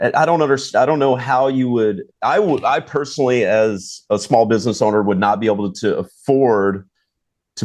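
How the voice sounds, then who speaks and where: A man talks at a moderate pace in a normal speaking voice with ordinary pitch variation and a quiet background. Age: 40s. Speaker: charter fishing captain and podcast host. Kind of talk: casual chat.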